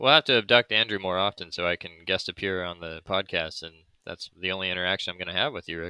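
Talking at a very fast pace with an American accent, a man with a very deep, low pitch shows ordinary pitch variation and big swings in loudness. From United States. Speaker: board game designer, new employee at a marketing agency. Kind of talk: casual chat.

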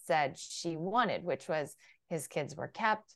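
A woman with an American accent, fairly low pitch, ordinary pitch variation, a very slow pace, and a quiet background. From US Midwest (Illinois, Iowa). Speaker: political communications strategist. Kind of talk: interview conversation.

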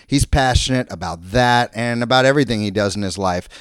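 An unremarkable speaking voice with an American accent, recorded dry and close with no echo against a silent background on a very clean recording. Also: man. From Florida. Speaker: podcast host. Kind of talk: scripted intro; casual chat.

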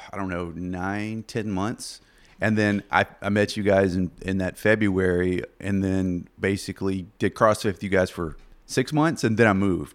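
A man with a Southern US accent talks at a fairly slow pace, with a fairly low pitch and fairly even intonation. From US South, southeast Arkansas. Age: 30s. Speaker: podcast guest. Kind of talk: casual chat.

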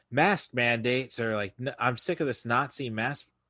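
Fairly slow speech from a man, bright and sharp in tone, against a quiet background. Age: 40s. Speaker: podcast host. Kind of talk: casual chat. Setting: video call.

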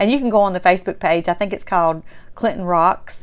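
A woman speaks in a strong Southern US accent at a medium pitch. Her pace is fairly quick and her pitch variation ordinary. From Mississippi, US South. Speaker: podcast and vlog host. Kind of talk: casual solo podcast monologue. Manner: warm, chatty, enthusiastic.

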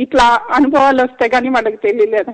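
A woman speaks high-pitched and monotone, with flat intonation. The sound is dry and close, with no echo. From Chennai, India (Telugu family). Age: 50s. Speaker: caller, granddaughter of a late actor. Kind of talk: phone-in call.

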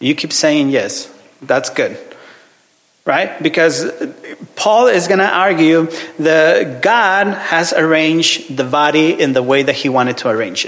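Speaking with a Mexican accent, a man talks fairly slowly in a fairly high voice with lively intonation and long, frequent pauses. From Mexico; Ciudad Juarez, northern Mexico. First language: Spanish. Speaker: visiting minister, preacher. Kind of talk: sermon. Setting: church with congregation. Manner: halting, hesitant, repeats words; friendly, joking.

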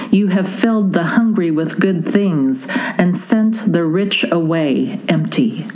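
Lively intonation marks this woman's medium-pitched voice. She speaks very slowly, with noticeable background noise behind her. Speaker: worship leader. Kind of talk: fervent intercessory prayer and liturgical reading. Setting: recorded audio service, listeners can pause it.

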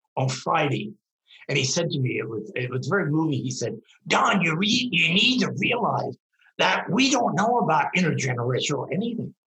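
At a moderate pace, a man speaks in a fairly high pitch that swings very widely. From rural Pennsylvania, US. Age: 80s. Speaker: LGBTQ activist and elder. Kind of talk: interview, thoughtful conversation.

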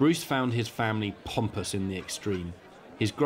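Pitch varies in an ordinary way. It is a natural reading voice.

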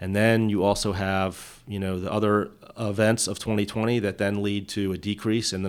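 At a moderate pace, a man talks in a fairly low pitch with monotone, flat intonation. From Delaware. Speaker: state police officer. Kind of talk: interview.

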